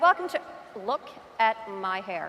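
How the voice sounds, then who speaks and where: Someone with a Newfoundland accent speaks at a moderate pace over noticeable background noise. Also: woman. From Newfoundland, Canada. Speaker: real estate agent. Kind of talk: conference talk. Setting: stage with audience. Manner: animated.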